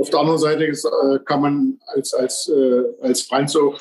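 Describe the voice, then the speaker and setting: This man's voice sits at a fairly high pitch. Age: 50s. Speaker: former bobsleigh champion. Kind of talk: casual podcast interview.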